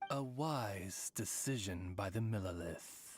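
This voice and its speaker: A man uses a put-on character voice at a fairly low pitch and a fairly slow pace. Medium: video game. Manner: formal, elaborate, polite.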